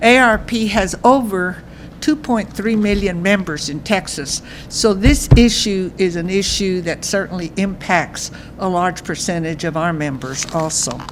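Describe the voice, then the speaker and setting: Lively intonation at a fairly slow pace, with audible room echo and noticeable background noise. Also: woman, medium pitch for a woman. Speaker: senior advocacy group president. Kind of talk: press conference statement. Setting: press conference with audience. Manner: loud.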